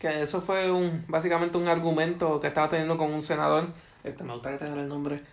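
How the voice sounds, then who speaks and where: A man with an ordinary speaking voice talks at a fairly quick pace, fairly high in pitch and fairly even in intonation. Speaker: podcast co-host. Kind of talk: casual chat.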